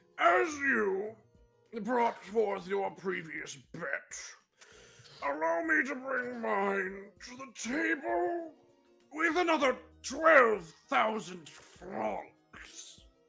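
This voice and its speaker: Over faint background music, a man in a put-on character voice projects loudly at a high pitch, swinging very widely in pitch and talking very slowly with long, frequent pauses. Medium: game stream. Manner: grandiose, contemptuous.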